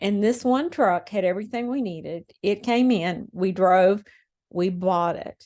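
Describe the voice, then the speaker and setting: Dark and mellow in tone, a woman speaks fairly slowly at a medium pitch with ordinary pitch variation. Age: 70s. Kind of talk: personal testimony. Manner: conversational, with fillers.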